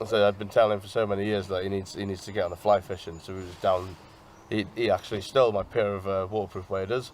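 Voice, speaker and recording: Talking at a very fast pace with a Welsh accent, a man with a fairly low pitch keeps a flat, monotone intonation while his loudness swings widely. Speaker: angler. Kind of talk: interview.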